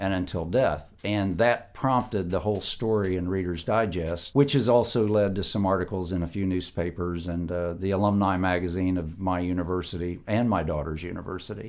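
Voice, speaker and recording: The speaker has an American accent and ordinary pitch variation. The pace is fairly quick, with hardly any pauses. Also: man, very deep, low pitch for a man. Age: 60s. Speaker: kidney transplant patient. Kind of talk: interview. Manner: halting, many fillers.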